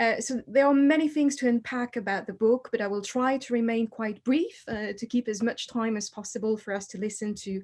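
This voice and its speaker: A woman speaks at a moderate pace with a French accent, her voice somewhat breathy and fairly high. Her pitch varies in an ordinary way, and she hardly pauses at all. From France. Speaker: historian. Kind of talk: book launch talk.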